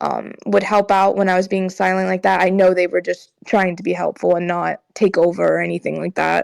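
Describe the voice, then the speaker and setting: A quiet woman's voice at a fairly quick pace with hardly any pauses, dry and close with no echo, on a very clean recording with a silent background. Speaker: esports player and in-game leader. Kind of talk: podcast interview. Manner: quiet, monotone; halting, many fillers.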